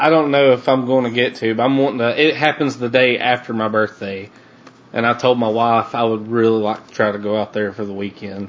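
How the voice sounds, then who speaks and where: A man speaks at a moderate pace in a medium pitch with a Southern US accent. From US South, North Alabama. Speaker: podcast host. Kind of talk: casual interview chat.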